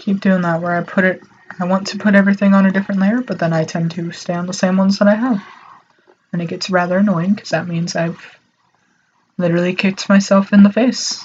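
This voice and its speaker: Soft-spoken and monotone, this voice moves at a very fast pace with flat intonation. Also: woman, medium pitch for a woman. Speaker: artist streaming their drawing. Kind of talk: casual live-stream talk while drawing. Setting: alone in a room, live stream. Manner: awkward pauses.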